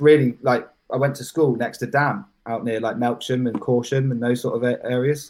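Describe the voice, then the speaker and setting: In a West Country accent, a man talks at a fairly quick pace with medium pitch and ordinary pitch variation. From southwest England, Bath and Bristol area. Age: 20s. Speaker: drum and bass producer. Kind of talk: casual chat. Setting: live stream.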